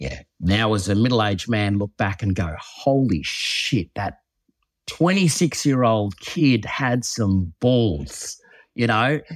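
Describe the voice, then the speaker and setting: With a strong Australian accent, a man speaks very slowly at a fairly low pitch, his intonation lively. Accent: broad Australian. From Western Queensland, Australia. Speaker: former reality TV contestant and youth program founder. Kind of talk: interview conversation.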